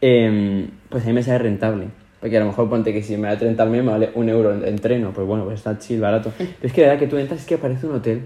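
Very fast talk from a man with a medium pitch. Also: ordinary pitch variation. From Spain. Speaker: podcast co-host. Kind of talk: casual chat. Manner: animated.

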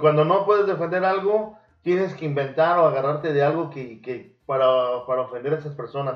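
In a room with audible echo, a man with fairly high pitch talks at a fairly quick pace with big swings in loudness. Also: ordinary pitch variation. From Mexico. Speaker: podcast host. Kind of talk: casual chat; storytelling about wrestling history.

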